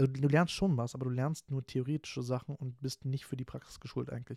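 Very fast and monotone with flat intonation, a man speaks at a fairly high pitch in a dark, mellow tone, the sound dry and close with no echo on a very clean recording with a silent background. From Berlin area, Germany. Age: 20s. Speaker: podcast host, student. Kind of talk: casual solo monologue. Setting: home recording at computer. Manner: talkative, frequent fillers. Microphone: new home podcast microphone.

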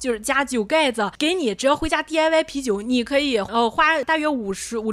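This woman sounds animated, with ordinary pitch variation. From Qingdao, Shandong, China. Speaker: podcast co-host. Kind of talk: casual chat.

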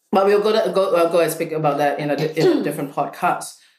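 A woman's very deep, low-pitched voice. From Singapore. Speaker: clinic co-founder and practitioner. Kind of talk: casual chat.

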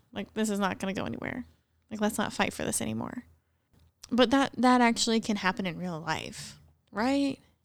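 Over a silent background in a very clean recording, a woman with an American accent talks at a fairly quick pace with a medium pitch. Her pitch varies in an ordinary way, broken by long, frequent pauses. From rural central Missouri. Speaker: church podcast co-host. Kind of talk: casual chat.

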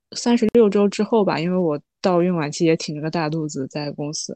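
The tone is dark and mellow, with ordinary pitch variation and a moderate pace. The sound is dry and close with no echo, against a quiet background. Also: woman. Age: 20s. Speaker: new mother sharing birth experience. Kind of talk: casual interview chat.

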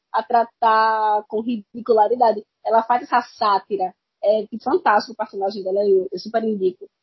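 A woman with a Pernambuco accent speaks at a moderate pace, her voice somewhat breathy. Her pitch is fairly high and her intonation fairly even. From Pernambuco, Brazil. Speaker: podcast guest. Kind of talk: casual chat.

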